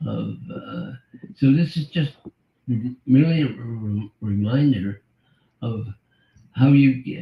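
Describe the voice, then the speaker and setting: A somewhat breathy voice carries ordinary pitch variation. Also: man. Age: 80s+. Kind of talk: interview answer.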